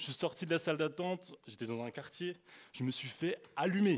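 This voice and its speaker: This very clean recording, with a silent background, features a man with an Alsatian accent. His voice is fairly high and his tone animated. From France, Alsace (Colmar area). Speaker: youth speaker. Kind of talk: sermon. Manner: halting.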